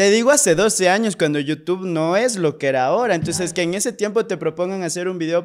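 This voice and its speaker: A man talks at a fairly quick pace. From Ecuador, Pasaje (El Oro coast); Ecuador. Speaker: actor and screenwriter; actor. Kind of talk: casual interview chat. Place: studio. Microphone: studio mic.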